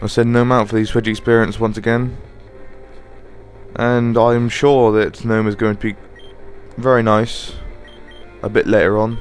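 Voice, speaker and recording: Music plays in the background as a man speaks at a moderate pace. He takes long, frequent pauses. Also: medium pitch for a man. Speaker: let's play gamer. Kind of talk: game commentary.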